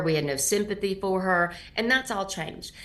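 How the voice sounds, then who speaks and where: At a moderate pace, a woman talks in a normal speaking voice, with medium pitch and ordinary pitch variation. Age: 60s. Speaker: nonprofit founder and anti-trafficking advocate. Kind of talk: interview.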